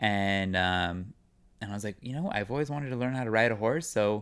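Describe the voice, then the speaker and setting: On a very clean recording with a silent background, a man with an American accent and medium pitch talks at a fairly quick pace with ordinary pitch variation, an ordinary speaking voice. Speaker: actor. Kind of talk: casual chat.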